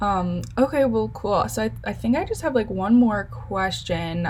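A woman is speaking. Her pace is moderate. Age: 20s. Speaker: podcast host and college student. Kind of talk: interview.

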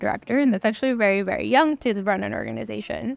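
A woman with a Spanish accent speaks in a medium pitch. The sound is dry and close with no echo, a very clean recording with a silent background. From Latin America. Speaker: policy institute director. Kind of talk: casual chat.

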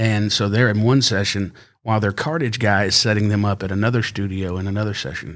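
A man with an American accent talks at a very fast pace in a fairly low pitch. His pitch variation is ordinary, and the recording is very clean with a silent background. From Fort Worth, Texas. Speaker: musician. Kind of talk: casual chat.

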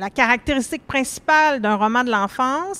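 A woman speaks with a high pitch and a bright, sharp tone, her pitch swinging very widely. The recording is very clean, with a silent background. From Quebec, Laurentides. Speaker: panel moderator. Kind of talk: moderated panel discussion. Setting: live-streamed panel at book fair.

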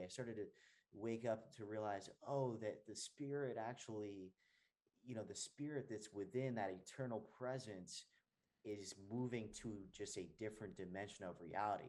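Medium pitch, a moderate pace and ordinary pitch variation in a man's voice, an unremarkable speaking voice. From New Jersey. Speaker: actor, hypnotherapist. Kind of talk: casual chat.

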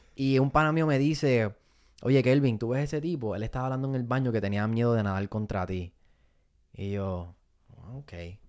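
On a very clean recording with a silent background, a man talks at medium pitch and a moderate pace, with ordinary pitch variation and long, frequent pauses. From Puerto Rico (Fajardo). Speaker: comedian and content creator. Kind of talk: casual interview.

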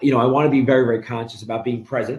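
In a New York accent, a man speaks in a somewhat breathy voice. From New York City (Brooklyn). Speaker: mortgage lender and real estate investor. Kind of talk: interview.

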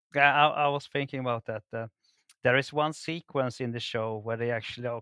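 A man with a Swedish accent talks in a medium pitch with fairly even intonation and a bright, sharp tone. The sound is dry and close, with no echo. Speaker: archaeologist guest. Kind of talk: casual chat. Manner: halting, many fillers and repetitions.

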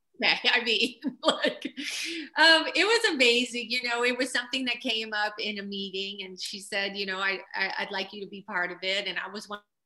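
At a moderate pace and with hardly any pauses, a woman speaks in an unremarkable speaking voice, fairly high in pitch, with ordinary pitch variation and big swings in loudness. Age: 50s. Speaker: choreographer and publicist. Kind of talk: interview.

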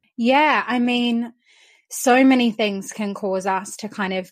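A woman speaks in an Australian accent at a fairly slow pace. Her intonation is fairly even, and the recording is very clean with a silent background. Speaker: confidence coach. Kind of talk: interview.

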